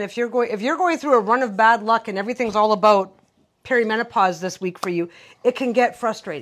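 In a very clean recording with a silent background, a woman has a normal speaking voice, fairly high in pitch with ordinary pitch variation. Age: 50s. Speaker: podcast co-host. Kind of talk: casual chat.

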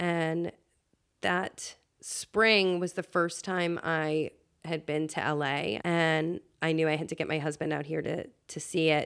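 At a very slow pace, a woman speaks with a very deep, low pitch and fairly even intonation on a very clean recording with a silent background. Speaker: producer and communications director. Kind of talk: casual interview chat. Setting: in person at a home.

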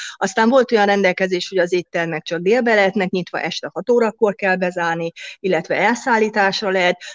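Very fast female speech at a medium pitch, fairly even in intonation, with a dry, close sound and no echo. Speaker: restaurant and hotel owner. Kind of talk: interview.

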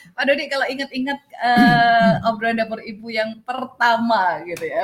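A woman speaks in a high pitch at a moderate pace. Noticeable background noise can be heard. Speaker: podcast host. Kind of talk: casual chat. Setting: outdoors. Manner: animated.

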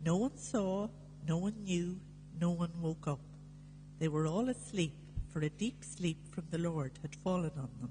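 A woman speaks fairly slowly in a very deep, low voice that is somewhat breathy, with a dark, mellow tone. Her pitch varies in an ordinary way, and she takes long, frequent pauses. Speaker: scripture reader at Mass. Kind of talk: reading aloud.

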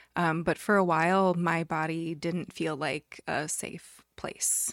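A woman speaks in an ordinary speaking voice at a fairly low pitch, with fairly even intonation. The recording is very clean, with a silent background.

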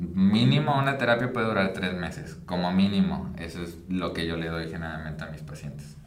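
A man's very deep, low voice at a moderate pace with ordinary pitch variation, audible room echo and noticeable background noise. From Mexico, Michoacán. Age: 20s. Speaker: psychologist. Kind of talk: casual chat interview.

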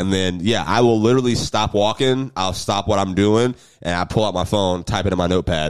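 In a very clean recording with a silent background, a man with an American accent speaks in a normal speaking voice at a fairly low pitch and a fairly quick pace, with ordinary pitch variation. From US South, Jacksonville, Florida. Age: 20s. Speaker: comedian. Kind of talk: casual chat.

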